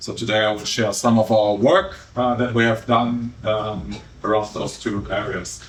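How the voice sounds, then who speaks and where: A man speaks in a fairly low pitch with a German accent, at a moderate pace and with fairly even intonation. Noticeable background noise and audible room echo surround his voice. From Germany. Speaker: behavioural scientist. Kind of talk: conference talk. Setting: stage with audience. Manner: hesitant, many fillers.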